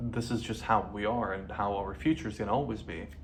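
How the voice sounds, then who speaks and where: A medium-pitched man with a Lebanese accent and ordinary pitch variation, with audible room echo. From Lebanon. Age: 20s. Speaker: vlogger. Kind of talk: personal video diary. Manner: halting.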